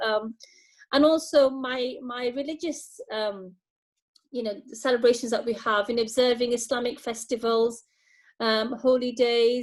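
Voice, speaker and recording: With a British accent, a woman speaks at a fairly slow pace in a high pitch, her intonation fairly even while her loudness swings widely. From UK, British Bangladeshi. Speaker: charity staff member. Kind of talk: video call interview. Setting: video call. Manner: halting, many fillers and repetitions.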